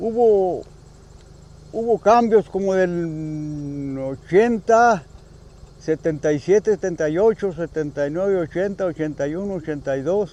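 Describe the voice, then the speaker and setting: Pausing long and often, a man speaks at a fairly slow pace and a high pitch with ordinary pitch variation. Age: 80s+. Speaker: elderly villager. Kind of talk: testimony.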